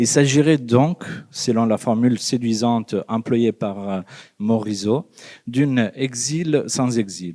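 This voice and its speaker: On a very clean recording with a silent background, a man with an Italian accent speaks at a medium pitch with a dark, mellow tone and ordinary pitch variation. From Italy. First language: Italian (speaking French). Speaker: psychologist and lecturer. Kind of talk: conference talk read from text. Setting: conference with audience. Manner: hesitant, many fillers.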